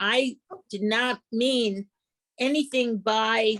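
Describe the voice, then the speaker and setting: A woman with a strong New York accent, fairly high in pitch, with ordinary pitch variation and a dry, close sound with no echo. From New York City, East New York. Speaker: book club member. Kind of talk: casual discussion.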